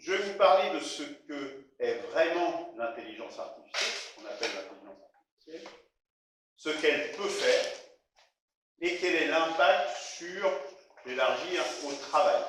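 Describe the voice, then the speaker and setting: Big swings in loudness mark this fairly slow speech with long, frequent pauses and audible room echo. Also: man. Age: 60s. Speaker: retired software engineer giving a talk. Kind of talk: presentation to an audience. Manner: hesitant, many filler sounds.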